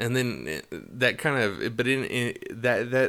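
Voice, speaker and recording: Medium in pitch and bright, sharp in tone, a man with vocal fry talks at a fairly slow pace. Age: 20s. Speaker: podcast co-host. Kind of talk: casual chat.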